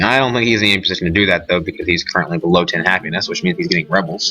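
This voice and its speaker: Very fast speech from a man at a fairly low pitch, noticeable background noise behind it. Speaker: gaming commentator. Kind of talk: let's play commentary. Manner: casual, thinking aloud.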